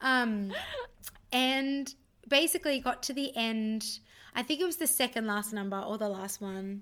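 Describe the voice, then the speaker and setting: With an Australian accent, a woman speaks at a moderate pace with a fairly high pitch and ordinary pitch variation, in a very clean recording with a silent background. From Australia (Sydney). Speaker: musical theatre performer and singer. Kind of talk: casual chat.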